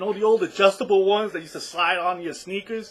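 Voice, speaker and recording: A man speaks very fast in a high pitch. He has a New York accent. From New York City, the Bronx. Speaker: online business vlogger. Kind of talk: personal story to camera. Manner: casual, halting with repetitions.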